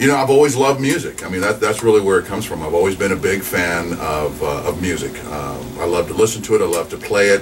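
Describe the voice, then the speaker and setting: A man's fairly low voice at a very fast pace, with lively intonation, hardly any pauses and noticeable background noise. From New Mexico (Alamogordo). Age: 40s. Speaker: radio DJ. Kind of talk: casual interview.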